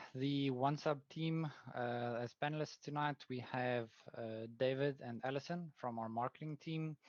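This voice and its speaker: A man with a South African accent speaks at a fairly slow pace and fairly high pitch. His intonation is fairly even, and the sound is dry and close with no echo. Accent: South African Afrikaans. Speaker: product manager. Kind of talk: webinar presentation. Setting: online webinar. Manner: hesitant, many fillers.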